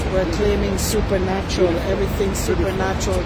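Loud background noise surrounds a dry sound with no echo. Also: woman. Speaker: travel vlogger. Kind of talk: spoken prayer in a casual vlog. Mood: joyful, praising. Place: waterside. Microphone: phone near.

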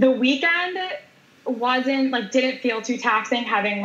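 Noticeable background noise runs behind a woman whose intonation is lively. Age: 30s. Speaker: powerlifter and weightlifter. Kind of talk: interview.

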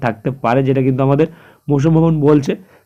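His voice has a dark, mellow tone. This man's pitch is fairly high. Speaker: weather news YouTuber. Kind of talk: weather report. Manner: halting, with frequent self-corrections.

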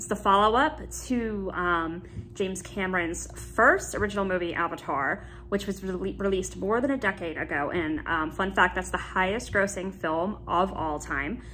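Light background noise runs under a woman who talks at a moderate pace. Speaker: YouTube vlogger. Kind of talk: casual vlog chat. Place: home room. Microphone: phone near.

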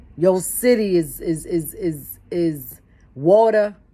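A woman's dark, mellow tone. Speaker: preacher. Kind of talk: sermon-style commentary. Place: home room. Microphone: phone near.

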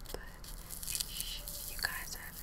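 A woman whispers. Her tone is gentle. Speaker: ASMR vlogger. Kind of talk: casual vlog chat. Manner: gentle whisper to viewers. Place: home room. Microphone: webcam.

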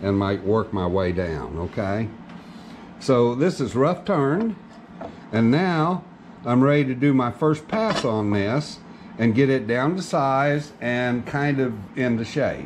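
A man's very slow speech over light background noise. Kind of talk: tutorial. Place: workshop.

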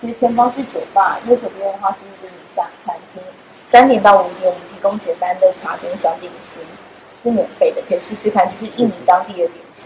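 A woman speaks at a fairly quick pace with ordinary pitch variation and big swings in loudness, light background noise underneath. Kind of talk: informational explanation to guests. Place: hall. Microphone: camera far.

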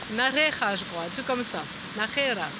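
Against noticeable background noise, a woman with a high pitch talks in a relaxed tone, the sound dry with no echo. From France. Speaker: pilgrim vlogger. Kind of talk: casual video diary. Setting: outdoors in a park by a fountain. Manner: relaxed, hesitant with many fillers. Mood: relaxed, cheerful. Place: garden. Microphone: phone near.

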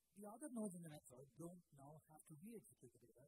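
A man speaks in a dark, mellow tone. Noticeable background noise runs under a dry sound with no echo. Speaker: conference speaker. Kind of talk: technical talk. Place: tent. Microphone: handheld.

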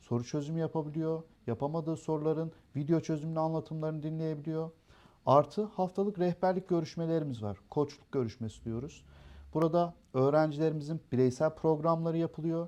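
A man's fairly quick speech with fairly even intonation over a quiet background. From Turkey, Erzurum roots, raised in Darıca. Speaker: education center owner. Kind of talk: interview. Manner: hesitant, frequent filler sounds.

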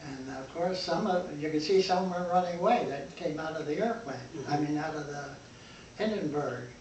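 Light background noise and audible room echo surround the speaker. A man talks with ordinary pitch variation. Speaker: eyewitness to a historic disaster. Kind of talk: interview answer. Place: home room. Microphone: camera far.

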